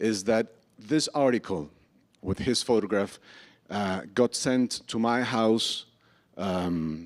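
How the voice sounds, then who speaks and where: A man's medium-pitched voice with a Spanish accent and ordinary pitch variation, very clean and silent in the background, dry and close with no echo. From Colombia. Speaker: novelist. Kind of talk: public conversation. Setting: stage with audience.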